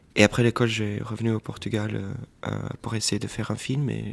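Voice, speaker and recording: A man at medium pitch and moderate pace. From Portuguese family, grew up mostly in Washington DC. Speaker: film director. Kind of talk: interview. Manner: hesitant, many fillers.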